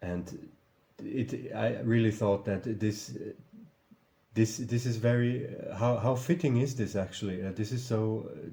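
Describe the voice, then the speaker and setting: A man of medium pitch speaks fairly slowly with a non-native accent, a somewhat breathy, dark, mellow tone and ordinary pitch variation. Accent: non-native English, noticeable. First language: German. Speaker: video commentator. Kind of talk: casual vlog commentary. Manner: halting, many fillers and repetitions.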